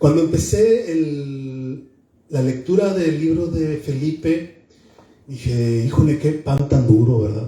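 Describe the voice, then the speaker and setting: Pitch variation is ordinary as the words come out at a very slow pace. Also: man, fairly high pitch for a man. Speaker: book presenter. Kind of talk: book presentation speech. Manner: loud.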